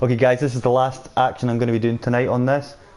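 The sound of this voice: The man's pitch sits in the medium range. His tone is slightly mellow.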